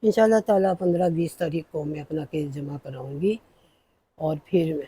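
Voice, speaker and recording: A woman speaks in a very deep, low, somewhat breathy voice with a dark, mellow tone and ordinary pitch variation. The sound is dry and close, with no echo. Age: 70s. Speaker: cooking vlogger. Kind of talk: personal monologue.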